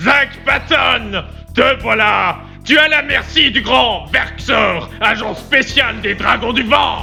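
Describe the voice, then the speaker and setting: Over clear music in the background, a put-on character voice speaks at a very slow pace. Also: man. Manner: bombastic, shouting.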